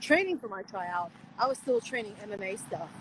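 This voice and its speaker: A woman speaks at a medium pitch with a Chinese accent. Her pace is moderate. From USA. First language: Mandarin Chinese. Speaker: pro wrestler. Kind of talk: interview.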